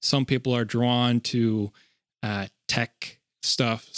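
Fairly even intonation marks a plain, everyday voice, recorded dry and close with no echo, very clean against a silent background. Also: man. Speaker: podcast co-host. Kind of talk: casual podcast conversation.

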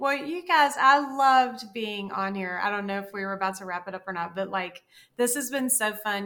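A woman speaks at a medium pitch with a bright, sharp tone. She has a Southern US accent and ordinary pitch variation. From US South. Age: 50s. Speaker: dietitian and writer. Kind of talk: casual chat.

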